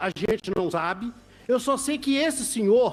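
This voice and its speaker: The man talks with a high-pitched voice. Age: 60s. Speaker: event producer. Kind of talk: public testimony at legislative hearing.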